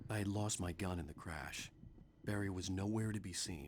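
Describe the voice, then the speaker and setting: Against clear background noise, a man uses a very deep, low put-on character voice at a moderate pace with ordinary pitch variation. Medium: video game. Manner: intense, brooding.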